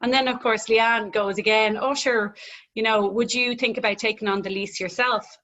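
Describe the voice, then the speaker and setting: Here a woman speaks with a Dublin accent at a fairly quick pace. Her pitch is fairly high and varies in an ordinary way. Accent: Irish, Dublin. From Ireland, Dublin. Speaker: gym owner. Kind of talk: casual interview chat.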